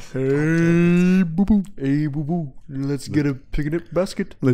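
This is a put-on character voice at a middle pitch. The pace is very slow. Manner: cartoonish, playful.

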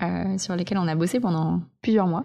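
Over a quiet background, a woman talks in a fairly low pitch with a dark, mellow tone and fairly even intonation. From French Alps, Vercors. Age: 20s. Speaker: eco entrepreneur and author. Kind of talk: casual interview. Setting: host's living room.

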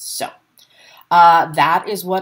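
A woman speaks against a quiet background. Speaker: podcast host. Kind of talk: casual chat. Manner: fast. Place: home room. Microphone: webcam.

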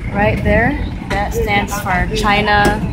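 Loud background noise fills the clip. A woman is speaking over it. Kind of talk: casual vlog chat. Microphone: phone near.

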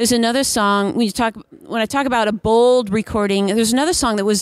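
She has a fairly high pitch for a woman and ordinary pitch variation. It is a normal speaking voice. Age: 40s. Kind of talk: casual interview. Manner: laughs often.

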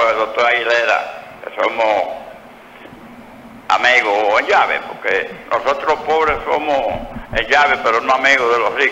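A man speaks with audible room echo. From Dominican Republic, Santiago; Dominican Republic. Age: 70s. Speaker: caller; guest. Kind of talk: phone-in opinion. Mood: indignant, critical of politicians. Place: studio.

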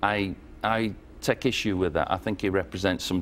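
A man with a northern English accent speaks at a fairly quick pace in a very deep, low pitch, his intonation fairly even over light background noise. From northern England. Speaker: former member of parliament; guest. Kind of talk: TV interview. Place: studio.

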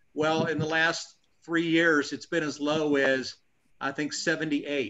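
A plain, everyday voice from a man at a fairly high pitch and fairly slow pace, over light background noise. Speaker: army veteran. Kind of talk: casual chat. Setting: video call. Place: home room. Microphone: video call.

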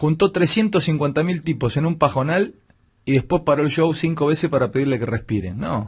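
A man speaks at a fairly quick pace in a somewhat breathy, fairly high voice, his intonation lively over a quiet background. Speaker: radio host. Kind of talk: radio commentary, opinionated rant. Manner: sarcastic, rhetorical, mocking. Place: studio. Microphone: studio mic.

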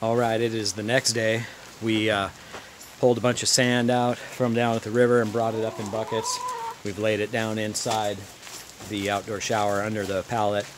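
The speaker goes at a moderate pace, with noticeable background noise behind the voice. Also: man. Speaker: DIY builder vlogger. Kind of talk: casual vlog chat. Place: garden. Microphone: phone near.

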